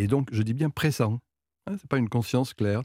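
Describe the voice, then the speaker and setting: A man speaks in a dark, mellow tone with lively intonation. The recording is very clean, with a silent background and a dry, close sound with no echo. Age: 70s. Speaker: sociologist. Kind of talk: radio interview.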